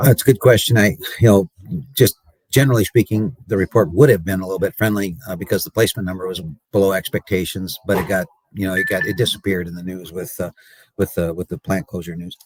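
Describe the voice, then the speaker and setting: A man with an American accent talks very fast at a fairly low pitch, his pitch rising and falling in an ordinary way while his loudness swings widely, all in a dry, close sound with no echo. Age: 60s. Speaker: cattle market analyst. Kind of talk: radio interview. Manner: halting, many fillers.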